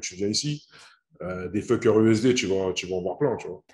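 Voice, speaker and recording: A man speaks with a dark, mellow tone at a fairly low pitch against a quiet background. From French Antilles, raised in Paris suburbs. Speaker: online trading coach. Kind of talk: interview. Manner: casual, hesitant with many fillers.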